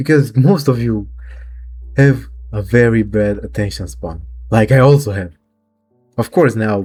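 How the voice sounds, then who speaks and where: A man speaks with lively intonation. Background music runs underneath him. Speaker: vlogger. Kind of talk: casual monologue. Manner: halting.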